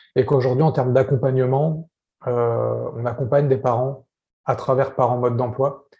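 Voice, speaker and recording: A man speaks at a medium pitch, somewhat breathy, with a dark, mellow tone. His intonation is monotone and flat. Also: moderate pace. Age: 30s. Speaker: parenting coach. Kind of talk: interview. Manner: casual.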